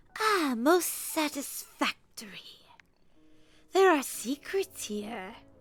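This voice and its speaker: A woman uses a put-on character voice, speaking at a very slow pace with long, frequent pauses. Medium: game stream.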